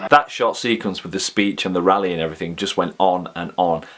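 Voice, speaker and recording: At a very fast pace, a man talks in a very deep, low voice with an animated tone. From Yorkshire, northern England. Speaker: movie reviewer and film extra. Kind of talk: casual video commentary.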